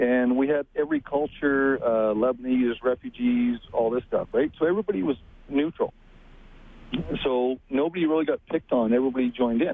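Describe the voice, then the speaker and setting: A man talks in an ordinary speaking voice, fairly high and at a fairly quick pace. His loudness stays very even and his pitch varies in an ordinary way. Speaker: caller. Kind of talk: call-in radio talk. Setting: phone call.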